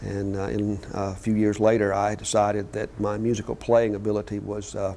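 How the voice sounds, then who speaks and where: A man with a Mississippi accent and a dark, mellow tone. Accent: Mississippi Southern US. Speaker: company founder. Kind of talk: interview. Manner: hesitant, many fillers.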